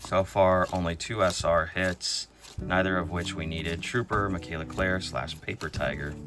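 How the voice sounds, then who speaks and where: The speech keeps a moderate pace while music runs in the background. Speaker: trading card unboxing YouTuber. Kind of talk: casual unboxing commentary.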